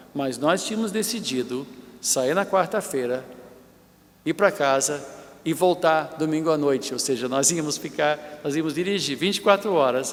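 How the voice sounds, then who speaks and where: A man speaks at a moderate pace, his pitch fairly high for a man. Noticeable background noise runs behind him. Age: 60s. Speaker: bishop, preacher. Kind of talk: sermon. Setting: church.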